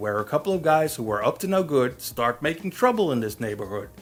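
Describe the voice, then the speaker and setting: Over background music, a man with a fairly high pitch speaks with very wide pitch swings. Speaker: movie reviewer. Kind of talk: film review monologue. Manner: casual, jokey.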